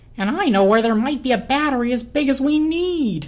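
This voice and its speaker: Using a put-on character voice, a woman talks at a fairly quick pace and a high pitch. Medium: read story. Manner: eager, chatty.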